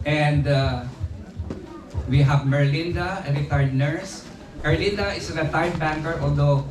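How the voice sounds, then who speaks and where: Speaking in a Filipino accent, a man with a fairly high pitch keeps his intonation fairly even and leaves long, frequent pauses, amid audible room echo and noticeable background noise. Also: moderate pace. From Philippines. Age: 70s. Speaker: retired teacher and community leader. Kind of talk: birthday speech. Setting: party with audience. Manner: halting.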